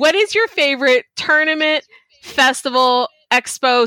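Someone with an American accent speaks in a raised, projected voice with lively intonation at a fairly slow pace, the sound dry and close with no echo. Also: woman. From Texas. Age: 40s. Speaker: podcast host. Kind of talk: casual interview chat. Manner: animated.

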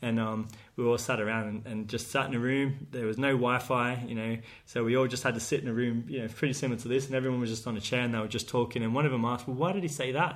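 In an Australian accent, a man talks at a very fast pace with a medium pitch and fairly even intonation, in audible room echo. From Australia, southwest Sydney. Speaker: PE teacher and school sports head. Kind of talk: casual interview chat. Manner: hesitant, many fillers.

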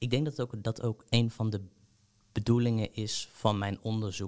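A man speaks at a moderate pace over a quiet background, in an ordinary speaking voice. His pitch sits fairly low, with fairly even intonation. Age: 20s. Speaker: PhD researcher in history. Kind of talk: interview.

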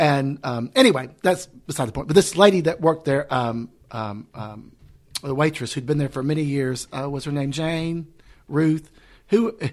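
A man with a Southern US accent talks at a fairly slow pace, his fairly high pitch showing ordinary variation. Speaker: drag performer and podcast host. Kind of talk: casual chat.

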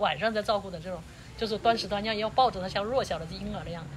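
A woman at a very fast pace and medium pitch. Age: 60s. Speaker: interviewee, host's aunt. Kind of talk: casual interview. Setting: outdoors, roadside in mountains. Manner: halting, repetitive.

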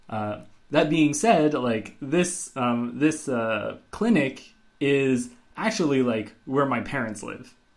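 His intonation is lively, his pitch medium for a man. Audible room echo surrounds the voice. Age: 30s. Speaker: podcast co-host, iOS developer. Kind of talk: casual chat.

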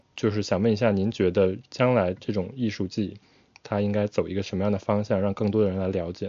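A man's fairly low voice at a fairly quick pace, flat and monotone in intonation. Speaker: podcast co-host, architectural designer. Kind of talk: casual interview chat.

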